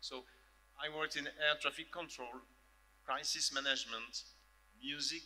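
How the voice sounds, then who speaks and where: Fairly slow speech in a French accent, bright and sharp in tone, with fairly even intonation and long, frequent pauses. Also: man. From France. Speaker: professor. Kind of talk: panel discussion. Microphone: echo on the sound.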